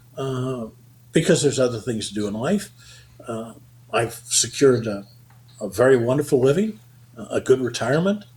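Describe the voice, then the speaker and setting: A man's medium-pitched voice is somewhat breathy. His pitch swings very widely. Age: 70s. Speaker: accountant and payroll company founder. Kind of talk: interview. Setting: podcast interview. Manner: frequent fillers and hesitations.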